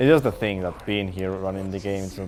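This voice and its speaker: Very deep, low-pitched male speech in a Spanish accent, very fast, with fairly even intonation and audible room echo. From Spain. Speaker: speedrunner. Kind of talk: live commentary while gaming. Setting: stage with live audience. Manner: halting.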